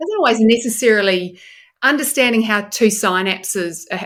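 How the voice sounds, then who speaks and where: A woman with a New Zealand accent, talking at a very fast pace. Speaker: neuroscientist. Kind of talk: podcast interview.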